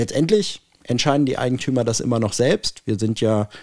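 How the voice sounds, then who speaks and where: A man's normal speaking voice, medium in pitch, with lively intonation at a moderate pace. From Hanover, northern Germany. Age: 40s. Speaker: property management executive. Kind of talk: casual interview.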